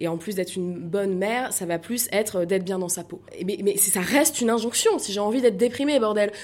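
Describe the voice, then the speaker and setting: A woman with a normal speaking voice of medium pitch talks at a fairly quick pace, her pitch varying in an ordinary way. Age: 30s. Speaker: comedian. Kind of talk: interview.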